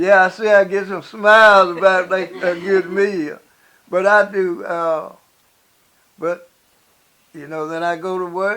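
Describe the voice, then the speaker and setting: A man with a high voice projects loudly at a fairly slow pace, his intonation fairly even, his loudness swinging widely, and long pauses coming often. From South Alabama. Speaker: retired operator and builder. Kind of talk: interview answer. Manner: humorous, storytelling.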